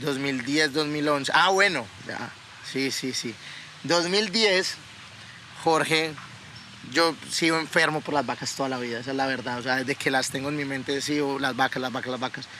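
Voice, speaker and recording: This man has a fairly high pitch, ordinary pitch variation and a moderate pace. He takes long, frequent pauses, and noticeable background noise runs underneath. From Colombia (Yopal, then Bogotá). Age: 20s. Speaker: cattle breeder and podcast co-host. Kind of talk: casual chat. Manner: animated.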